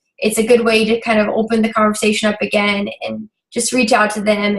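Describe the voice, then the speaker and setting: Her voice sits at a fairly high pitch and sounds somewhat breathy. The woman speaks at a moderate pace. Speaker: fitness business coach. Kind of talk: team coaching meeting. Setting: video call. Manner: hesitant, many fillers.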